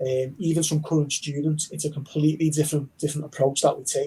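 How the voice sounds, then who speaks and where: With a dark, mellow tone, a man speaks at a fairly high pitch and with fairly even intonation. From Liverpool, England. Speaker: university recruitment manager. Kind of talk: online information session.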